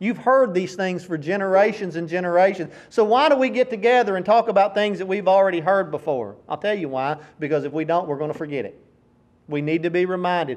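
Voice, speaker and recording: Talking at a very fast pace, a man speaks with a Tennessee accent. His pitch is high, with ordinary variation. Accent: Southern US (Tennessee). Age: 40s. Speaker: preacher. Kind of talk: sermon.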